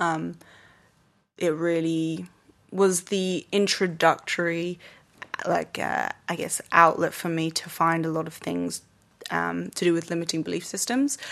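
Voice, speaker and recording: A woman's fairly low voice in an English accent, fairly slow and fairly even in intonation, with long, frequent pauses. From England. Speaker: yoga teacher and dancer. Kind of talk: casual interview.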